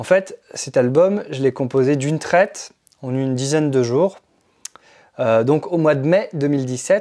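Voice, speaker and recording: Pitched fairly high, a man talks at a very slow pace, leaving long, frequent pauses. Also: ordinary pitch variation, quiet background. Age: 30s. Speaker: musician and music production teacher. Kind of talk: vlog monologue. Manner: halting. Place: studio. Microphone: lapel.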